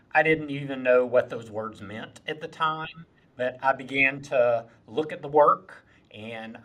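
In a Southern US accent, a man talks at a medium pitch with a bright, sharp tone. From South Carolina Lowcountry, Moncks Corner. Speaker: community college president. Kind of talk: interview.

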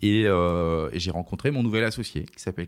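This very clean recording, with a silent background, has ordinary pitch variation. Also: man. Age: 30s. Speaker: entrepreneur, company director. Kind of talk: interview. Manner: hesitant, many fillers.

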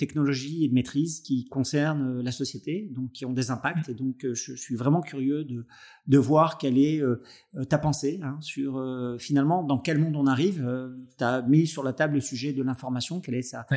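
On a very clean recording with a silent background, a man with a fairly high-pitched, dark, mellow voice speaks at a moderate pace with ordinary pitch variation and hardly any pauses. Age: 50s. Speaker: podcast host, entrepreneur and business angel. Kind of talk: interview conversation.

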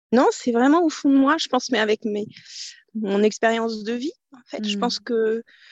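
With ordinary pitch variation, a woman speaks at a fairly high pitch in a dry, close sound with no echo. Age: 40s. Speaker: business owner. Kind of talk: interview. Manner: halting.

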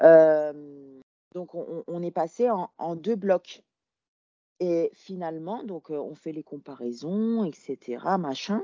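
A woman's very slow speech at a fairly low pitch, with ordinary pitch variation and big swings in loudness. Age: 20s. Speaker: female bodybuilding competitor. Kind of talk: casual chat. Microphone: bad connection.

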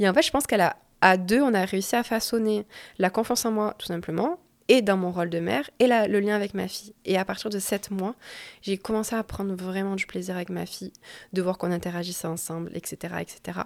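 A woman has an unremarkable speaking voice at medium pitch with ordinary pitch variation. She talks at a fairly quick pace on a very clean recording with a silent background. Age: 20s. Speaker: nurse and mother sharing postpartum story. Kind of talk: testimony.

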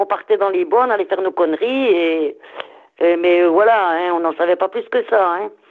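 Her pace fairly slow, a woman talks with ordinary pitch variation. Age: 60s. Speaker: caller, grandmother. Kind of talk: casual chat. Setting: phone call.

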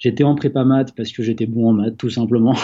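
A man with a plain, everyday voice speaks at a medium pitch and a fairly quick pace. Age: 20s. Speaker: entrepreneur. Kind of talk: interview. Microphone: connection dropped.

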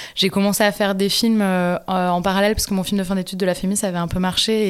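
A woman's medium-pitched voice, monotone and flat, at a fairly quick pace in a very clean recording with a silent background. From southern France, Montpellier. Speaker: film director. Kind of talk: interview. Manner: hesitant, many fillers.

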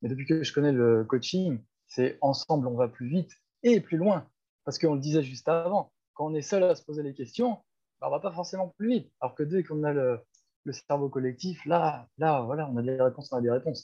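A man with a plain, everyday voice delivers his words fairly quickly, pitched fairly high and showing ordinary pitch variation. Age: 30s. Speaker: life coach. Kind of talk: casual chat.

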